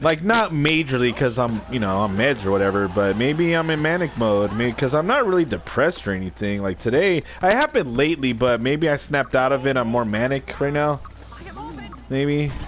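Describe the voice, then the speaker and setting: A man's medium-pitched voice with lively intonation at a fairly quick pace, amid noticeable background noise. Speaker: gaming livestreamer. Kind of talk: casual chat. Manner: rambling casual.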